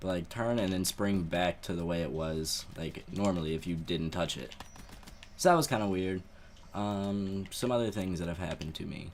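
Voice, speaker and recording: Ordinary pitch variation from a man whose voice is very deep and low. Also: moderate pace. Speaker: gaming YouTuber. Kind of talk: live gameplay commentary with storytelling. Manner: quiet, not loud.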